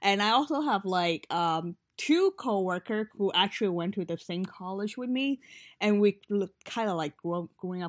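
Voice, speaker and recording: In a plain, everyday voice, a woman of medium pitch speaks at a fairly slow pace, the sound dry and close with no echo on a very clean recording with a silent background. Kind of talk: casual chat.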